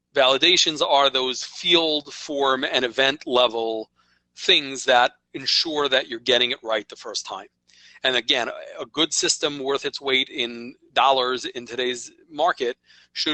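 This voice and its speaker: Fairly slow and fairly even in intonation, a man speaks at a medium pitch in a New York accent. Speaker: software company presenter. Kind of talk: webinar presentation. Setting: online webinar. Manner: conversational, with frequent okay fillers.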